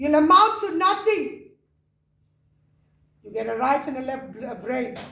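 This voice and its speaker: With a raised, projected voice and an animated tone, a woman speaks at a fairly slow pace and a high pitch, her bright, sharp tone carrying very wide pitch swings and big swings in loudness against audible room echo. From South Africa. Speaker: pastor. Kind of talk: sermon.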